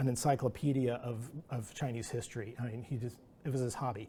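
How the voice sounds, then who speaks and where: A man's dark, mellow, somewhat breathy voice at a very fast pace, with fairly even intonation. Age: 60s. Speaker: animator and artist. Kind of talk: artist talk Q&A. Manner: halting.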